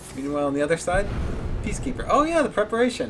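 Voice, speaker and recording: A man's voice over music in the background. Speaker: esports caster. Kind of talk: live commentary. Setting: livestream at home. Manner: quiet. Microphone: too quiet.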